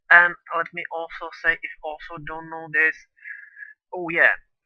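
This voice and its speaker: A non-native accent at a fairly slow pace. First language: not English. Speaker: gaming video creator. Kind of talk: let's play commentary. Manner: halting.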